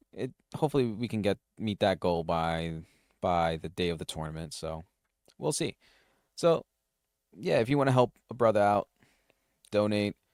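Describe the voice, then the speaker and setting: In a very clean recording with a silent background and a dry, close sound with no echo, a man with a fairly low pitch and lively intonation talks at a moderate pace with long, frequent pauses. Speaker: solo tech podcast host. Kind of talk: casual solo podcast talk. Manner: halting, frequent restarts and fillers.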